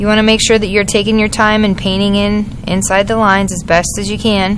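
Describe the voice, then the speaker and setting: A woman speaks with monotone, flat intonation amid noticeable background noise and audible room echo. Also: medium pitch for a woman, fairly quick pace. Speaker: art teacher. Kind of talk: tutorial. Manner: fast.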